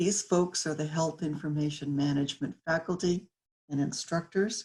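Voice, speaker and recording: A woman speaks at a moderate pace with a fairly low, somewhat breathy voice. Her intonation stays fairly even. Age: 70s. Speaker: graduating student. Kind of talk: commencement speech.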